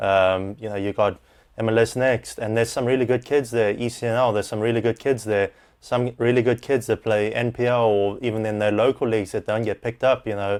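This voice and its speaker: Over a quiet background, a man at medium pitch speaks at a fairly quick pace in a monotone, flat intonation. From South Africa. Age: 30s. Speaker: football coach. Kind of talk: podcast interview.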